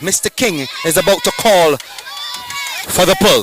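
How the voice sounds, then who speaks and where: A man speaks at a fairly slow pace with crowd noise in the background. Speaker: sports day commentator; teacher. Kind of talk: live commentary. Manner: loud; animated.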